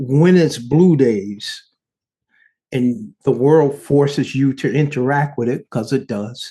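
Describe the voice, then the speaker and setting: A man's dark, mellow, somewhat breathy voice at a very slow pace, with ordinary pitch variation. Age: 50s. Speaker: podcast co-host in a long-distance couple. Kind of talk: casual chat. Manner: halting, with frequent repeated words.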